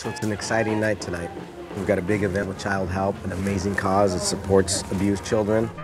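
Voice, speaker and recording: A man rattles along at a very fast pace while clear music plays behind him. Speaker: auctioneer. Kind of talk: interview answer. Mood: warm, upbeat. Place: hall.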